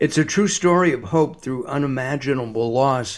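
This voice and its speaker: Delivered at a moderate pace, a man's unremarkable speaking voice carries lively intonation. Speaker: radio host. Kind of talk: infomercial, radio ad read. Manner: brisk, upbeat, salesy, repeating phone number clearly.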